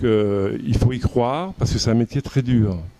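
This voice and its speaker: The man speaks with ordinary pitch variation. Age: 60s. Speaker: pastry chef and business owner. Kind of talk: interview. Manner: hesitant, frequent fillers and repeats.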